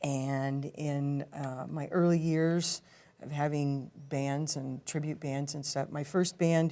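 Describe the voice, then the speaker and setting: A woman with a Californian accent and a dark, mellow tone, at a very slow pace with fairly even intonation. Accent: California. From California, San Francisco and Marysville area. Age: 50s. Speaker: blues singer. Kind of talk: casual interview. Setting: TV studio.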